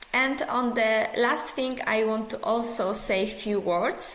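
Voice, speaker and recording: A woman with a Polish accent speaks at a very slow pace in a fairly high pitch, with audible room echo and noticeable background noise. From Poland. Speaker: psychology professor. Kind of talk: pre-recorded conference lecture. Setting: pre-recorded video.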